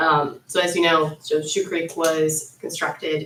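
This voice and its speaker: Speaking fairly slowly, a woman uses a fairly low pitch. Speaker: solar company representative. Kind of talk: public meeting presentation. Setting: public board meeting.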